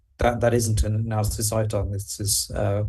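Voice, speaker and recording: A man talks in a dark, mellow tone at a fairly low pitch, somewhat breathy. His pace is moderate and his pitch variation ordinary. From Wales. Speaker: health researcher, speaker. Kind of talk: Q&A answer.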